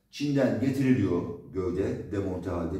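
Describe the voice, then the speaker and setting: With audible room echo, a man speaks using lively intonation. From Turkey. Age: 40s. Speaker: drone developer. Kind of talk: product demo. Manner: casual. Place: workshop. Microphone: camera far.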